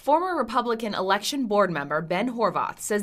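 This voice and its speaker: A woman has a plain, everyday voice with lively intonation at a fairly quick pace. The recording is very clean, with a silent background. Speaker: TV news reporter and weekend morning anchor. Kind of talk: TV news reporting and anchoring.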